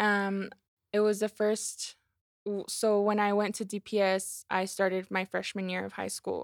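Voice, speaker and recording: A medium-pitched woman's voice in monotone, flat intonation at a moderate pace, on a very clean recording with a silent background. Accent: American. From Colorado. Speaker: legislative analyst. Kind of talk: casual chat.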